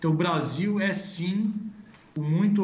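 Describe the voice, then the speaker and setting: The speech moves at a fairly slow pace with ordinary pitch variation. Noticeable background noise and audible room echo are present. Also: man. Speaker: agribusiness consultancy executive. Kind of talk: live interview. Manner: halting, many filler sounds.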